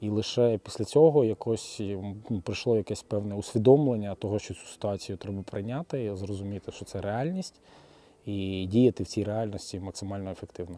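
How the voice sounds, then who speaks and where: A man uses a normal speaking voice at a fairly low pitch, with ordinary pitch variation and big swings in loudness. He keeps a moderate pace in a very clean recording with a silent background. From Kyiv, Ukraine. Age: 30s. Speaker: finance professional and volunteer. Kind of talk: interview testimony.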